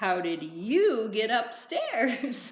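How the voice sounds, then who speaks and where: Putting on a character voice, a woman speaks at a fairly high pitch with very wide pitch swings. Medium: read story.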